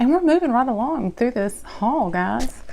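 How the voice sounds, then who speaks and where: A woman with an American accent speaks at a moderate pace in a fairly high pitch, with very wide pitch swings and vocal fry. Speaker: beauty vlogger. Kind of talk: product haul review. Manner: casual, chatty.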